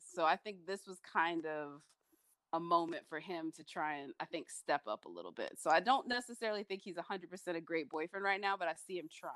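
A woman's normal speaking voice, fairly low in pitch with ordinary pitch variation, at a fairly quick pace, with big swings in loudness and a dry, close sound with no echo. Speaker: co-host, TV critic panelist. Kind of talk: casual chat about a TV episode.

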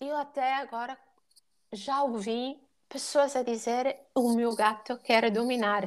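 Very slowly and with long, frequent pauses, a woman speaks at a high pitch with fairly even intonation. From Italy. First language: Italian (speaking Portuguese). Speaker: dog and cat behaviour educator. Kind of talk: podcast interview.

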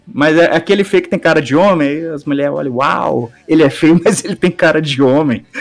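Noticeable background noise surrounds a man whose fairly high voice moves at a moderate pace with ordinary pitch variation and hardly any pauses. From Brazil, countryside. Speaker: podcast guest, video editor. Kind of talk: casual chat. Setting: live stream.

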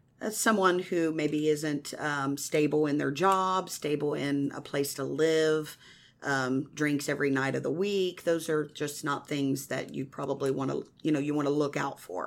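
A woman with an American accent speaks at a fairly slow pace in a very deep, low voice, her intonation fairly even and her pauses hardly any, on a very clean recording with a silent background. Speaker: evangelist. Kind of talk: testimony. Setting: radio studio.

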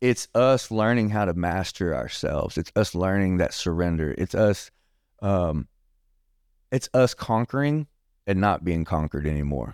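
In a very clean recording with a silent background, a man speaks with a Texan accent. His very deep, low pitch moves with lively intonation. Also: moderate pace, dry, close sound with no echo. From Texas, Bryan. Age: 40s. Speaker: recovering addict sharing testimony. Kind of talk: testimony.

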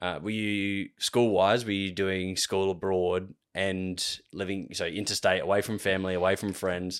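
Speaking with an Australian accent, a man delivers his words at a moderate pace with hardly any pauses, his pitch very deep and low. His intonation is monotone and flat, in a very clean recording with a silent background. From Australia, Adelaide. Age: 20s. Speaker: podcast host. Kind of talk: casual chat.

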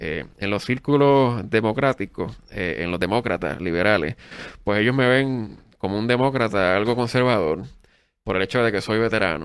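In a normal speaking voice, a man with a fairly low pitch talks at a moderate pace with lively intonation, in a very clean recording with a silent background. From Puerto Rico, Adjuntas (central mountains). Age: 30s. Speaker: political candidate and university professor. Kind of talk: interview.

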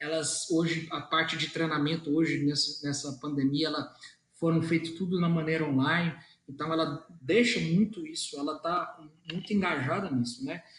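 A man speaks at a moderate pace with a fairly high voice. His intonation stays fairly even. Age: 30s. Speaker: car dealership executive. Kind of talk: interview. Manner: halting, many fillers.

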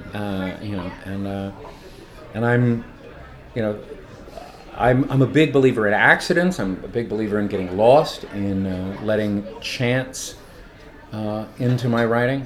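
A man with a West Coast US accent speaks at a fairly low pitch with long, frequent pauses, amid noticeable background noise and audible room echo. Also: ordinary pitch variation, fairly slow pace. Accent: General American, West Coast. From Los Angeles. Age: 50s. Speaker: poet and teacher. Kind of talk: casual interview. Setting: hotel bar. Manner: halting, many fillers and restarts.

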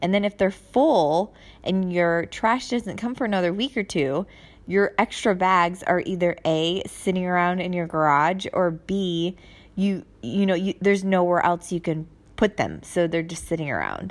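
At a moderate pace, a woman with an unremarkable speaking voice and medium pitch shows ordinary pitch variation in a very clean recording with a silent background. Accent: American. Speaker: podcast host, military spouse living abroad. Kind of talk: casual monologue. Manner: chatty, with frequent fillers.

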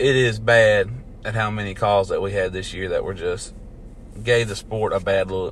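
A man with a Southern US accent at a moderate pace. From US South, near Mississippi. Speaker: NASCAR podcast host. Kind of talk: solo casual commentary.

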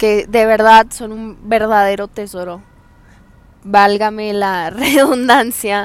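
The pace is very slow. This woman's voice sits fairly high. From Hidalgo del Parral, Chihuahua, northern Mexico. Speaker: podcast host. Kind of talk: casual monologue. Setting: outdoors on the street. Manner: halting.

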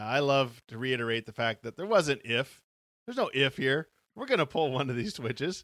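A playful tone at a fairly quick pace with ordinary pitch variation, in a very clean, dry, close recording with no echo and a silent background. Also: man, medium pitch for a man. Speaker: podcast host. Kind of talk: casual chat; dramatic narration. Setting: live stream. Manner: playful, laughs often; dramatic, expressive storyteller reading aloud.

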